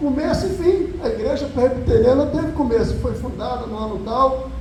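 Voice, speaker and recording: At a moderate pace, a man speaks with an extremely high pitch and ordinary pitch variation, with audible room echo and noticeable background noise. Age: 60s. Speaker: pastor. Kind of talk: sermon.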